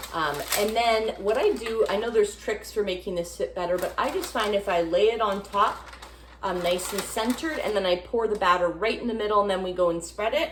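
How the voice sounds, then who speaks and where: With noticeable background noise, a woman talks at a fairly quick pace, her medium pitch showing ordinary variation. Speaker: home cooking vlogger. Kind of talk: cooking tutorial. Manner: casual, hesitant with fillers.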